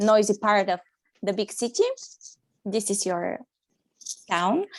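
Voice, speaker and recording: A woman with a non-native accent and a fairly high pitch is heard in a very clean recording with a silent background. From Bulgaria. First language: Bulgarian. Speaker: primary school teacher. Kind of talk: interview. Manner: halting.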